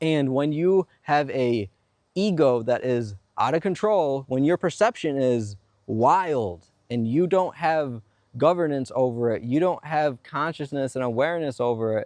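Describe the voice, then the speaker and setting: Against a quiet background, a man with an ordinary speaking voice talks at a fairly slow pace. His pitch is fairly high, with lively intonation. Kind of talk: spiritual self-help monologue on manifestation and ego. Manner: earnest, explanatory, persuasive.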